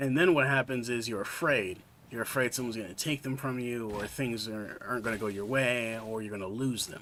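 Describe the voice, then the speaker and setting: Using an ordinary speaking voice, a man talks at a fairly quick pace with ordinary pitch variation and hardly any pauses. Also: medium pitch for a man. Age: 20s. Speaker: video game streamer. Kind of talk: gaming livestream chat.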